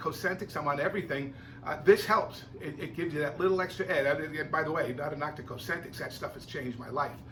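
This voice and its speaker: Someone with an American accent talks at a fairly quick pace with ordinary pitch variation, and the room echo is audible. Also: man. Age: 60s. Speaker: video blogger and drummer. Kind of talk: casual vlog monologue. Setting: home music room. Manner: animated.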